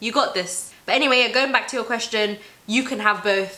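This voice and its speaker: A woman in an animated tone at a very fast pace, with noticeable background noise. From Somali heritage. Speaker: YouTuber. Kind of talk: casual chat.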